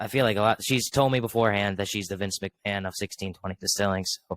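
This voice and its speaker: A man's voice, with ordinary pitch variation, comes through in a dry, close sound with no echo. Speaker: podcast host. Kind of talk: casual chat. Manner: halting, many fillers.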